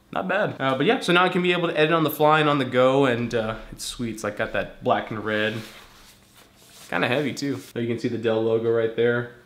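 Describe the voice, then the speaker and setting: Over noticeable background noise and audible room echo, a man talks at a very fast pace with medium pitch and ordinary pitch variation. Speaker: vlogger. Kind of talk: casual vlog talk. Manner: casual, filler-heavy.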